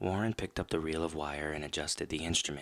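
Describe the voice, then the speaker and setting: Soft-spoken, a man talks with a very deep, low pitch. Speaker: horror story host and rock band vocalist. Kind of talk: first-person horror story narration. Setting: scary background music under the reading. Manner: soft-spoken, sleepy, ASMR-style.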